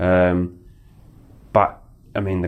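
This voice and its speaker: The speaker is a man with an Australian accent. His voice sits very deep and low. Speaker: professional footballer. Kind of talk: casual chat.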